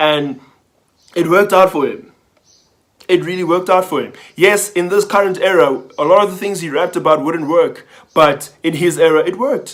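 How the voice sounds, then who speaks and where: A man talks at a high pitch with ordinary pitch variation. His speech has long, frequent pauses. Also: moderate pace. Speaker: motivational vlogger. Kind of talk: casual monologue. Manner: stuttering.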